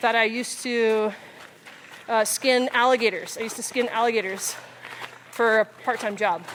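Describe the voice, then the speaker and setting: With noticeable background noise, a woman with an American accent speaks at a moderate pace and a fairly high pitch, her intonation monotone and flat, with long, frequent pauses. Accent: Texan, comes out depending on listener. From South Texas. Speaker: physical therapist and army officer. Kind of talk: casual chat. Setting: outdoors on a hiking trail.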